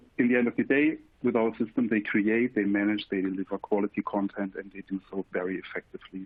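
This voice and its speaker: With a German accent, a man talks at a fairly quick pace and fairly low pitch. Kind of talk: webinar presentation. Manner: halting, with fillers.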